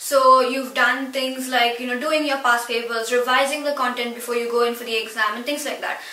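At a moderate pace, a raised, projected voice carries audible room echo. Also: woman. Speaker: student educational youtuber. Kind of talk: tutorial. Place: home room.

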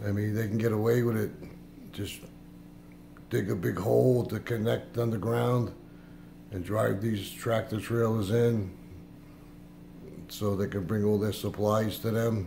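Fairly slow, somewhat breathy speech in a dark, mellow tone, monotone and flat, with long, frequent pauses over light background noise. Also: man, fairly low pitch for a man. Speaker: vlogger. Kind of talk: casual vlog chat. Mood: suspicious, earnest. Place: kitchen. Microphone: phone near.

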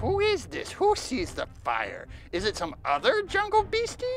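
A put-on character voice comes at a moderate pace over clear background noise. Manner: broken, old-fashioned speech.

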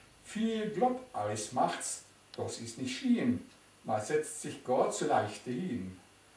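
Speaking very slowly with a Silesian accent, a man with a fairly high pitch makes very wide pitch swings, with audible room echo around him. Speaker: dialect poetry reciter. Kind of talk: poetry reading. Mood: calm, warm, nostalgic. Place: home room. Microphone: camera far.

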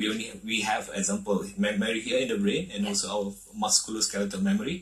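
Talking at a very fast pace, a man with a medium pitch swings his voice very widely up and down. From Malaysia. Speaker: martial arts federation president. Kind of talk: TV talk show interview. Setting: TV studio. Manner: halting. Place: studio.

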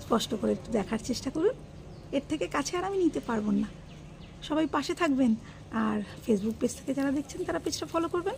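Soft-spoken and high-pitched, a woman makes very wide pitch swings over light background noise. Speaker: home vlogger. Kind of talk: casual vlog narration. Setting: at home, garden. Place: garden.

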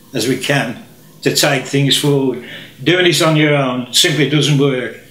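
Speech at a moderate pace, with audible room echo. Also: man. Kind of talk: direct-to-camera appeal. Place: home room.

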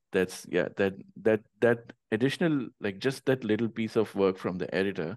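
At a moderate pace, the voice comes across with ordinary pitch variation, a dry sound with no echo, and a quiet background. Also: man. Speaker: interview show host and platform founder; interview show host. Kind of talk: casual interview. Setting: video call. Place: home room. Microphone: video call.

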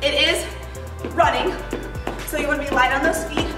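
Clear music plays behind a woman's raised, projected voice. She speaks at a fairly quick pace. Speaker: fitness instructor. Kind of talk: workout class instruction. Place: gym.

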